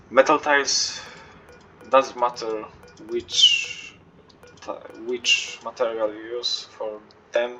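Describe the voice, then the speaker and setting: A man talks at a very slow pace with a non-native accent. There is noticeable background noise. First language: not English. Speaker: video game player. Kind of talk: game tutorial walkthrough. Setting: low-quality home recording. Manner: hesitant, many fillers.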